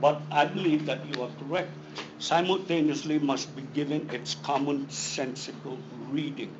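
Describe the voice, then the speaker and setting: A man talks at a fairly high pitch with fairly even intonation. There is audible room echo. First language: not English. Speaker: defense attorney. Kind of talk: legal hearing argument. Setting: board meeting hearing room. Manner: combative.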